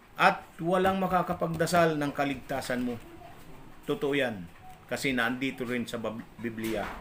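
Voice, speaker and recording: At a moderate pace, a man speaks with a fairly high pitch. He takes long, frequent pauses. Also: lively intonation. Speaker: religious vlogger. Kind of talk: religious talk. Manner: halting.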